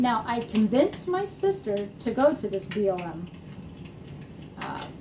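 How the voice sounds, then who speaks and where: Over noticeable background noise, a woman speaks with lively intonation and big swings in loudness. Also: medium pitch for a woman, fairly slow pace. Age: 60s. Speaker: horse farm owner. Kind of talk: casual talk to camera.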